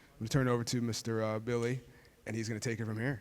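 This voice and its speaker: This is a man's voice. His pitch sits in the medium range. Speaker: outgoing alumni board president. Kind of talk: ceremony speech. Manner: fast.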